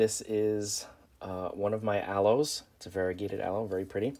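A man talks at a moderate pace in a fairly low pitch. He has a normal speaking voice. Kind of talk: casual tutorial vlog. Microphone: phone near.

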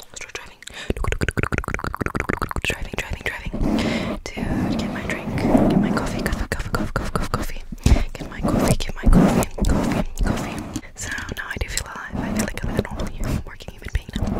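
A woman is whispering. Her pace is fairly quick. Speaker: ASMR creator. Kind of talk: soft ASMR rambling with repeated words. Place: home room. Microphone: studio mic.

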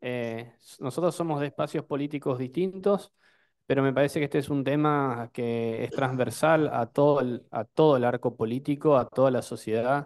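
A man speaks in a normal speaking voice at a fairly high pitch and moderate pace. His pitch variation is ordinary, and the background is quiet. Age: 30s. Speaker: provincial legislator. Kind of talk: public hearing speech.

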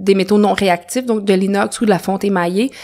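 Her voice is at a medium pitch, and this woman speaks with a Quebec accent at a fairly quick pace in a monotone, flat intonation. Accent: Québécois French. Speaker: natural dyer. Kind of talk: casual interview.

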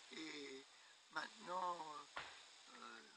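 A man speaks at a fairly high pitch, and the sound is dry with no echo. Background noise is noticeable. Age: 80s+. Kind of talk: interview answer. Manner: hesitant. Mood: calm, slightly aggrieved. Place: garden.

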